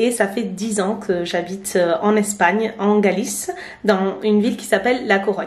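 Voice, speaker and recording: A woman speaks at a medium pitch and a moderate pace, her intonation flat and monotone. Noticeable background noise and audible room echo surround her. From France, Basque Coast (Biarritz). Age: 30s. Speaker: vlogger. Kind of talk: casual vlog narration. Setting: restaurant. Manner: hesitant, many fillers.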